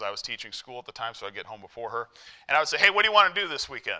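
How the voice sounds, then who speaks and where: The background stays quiet. A man talks, his tone bright and sharp. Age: 40s. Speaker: lay preacher. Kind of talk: sermon. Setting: church. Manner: halting. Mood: warm, humorous, conversational. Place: church.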